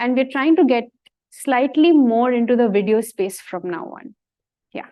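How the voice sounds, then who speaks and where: A woman with a Bengali accent speaks at a moderate pace in a high pitch with lively intonation. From India, Bengali-speaking. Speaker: science communicator. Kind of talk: talk with Q&A.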